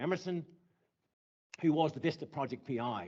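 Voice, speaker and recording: A man's fairly high-pitched voice moves with lively intonation. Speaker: astronomer. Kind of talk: conference talk. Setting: stage with audience. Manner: fast when nervous.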